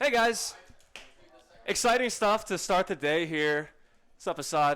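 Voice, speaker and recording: Loud, animated speech at a fairly slow pace with lively intonation. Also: man, high pitch for a man. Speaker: esports commentator. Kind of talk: live commentary.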